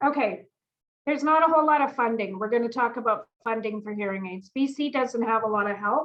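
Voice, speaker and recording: Loud and with a Canadian accent, the voice shows ordinary pitch variation. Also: woman. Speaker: audiologist. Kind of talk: informative presentation. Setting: video call. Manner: animated.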